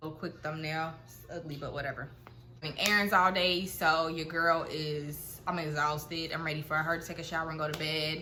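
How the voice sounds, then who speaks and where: A woman with an American accent speaks at a fairly quick pace in a very deep, low pitch, her intonation monotone and flat, her loudness swinging widely, with audible room echo. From Ohio, Cincinnati. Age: 20s. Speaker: vlogger. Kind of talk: casual chat. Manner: hesitant, many fillers.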